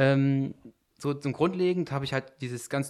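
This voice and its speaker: Fairly high in pitch, a man with a normal speaking voice talks at a fairly slow pace with ordinary pitch variation. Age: 20s. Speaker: private investor, club member. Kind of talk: casual podcast chat.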